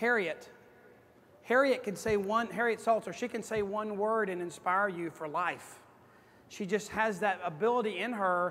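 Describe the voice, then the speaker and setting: This man speaks with a high pitch. His pitch variation is ordinary. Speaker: motivational speaker at sales conference. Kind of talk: conference keynote speech. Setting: stage with audience. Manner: fast; animated.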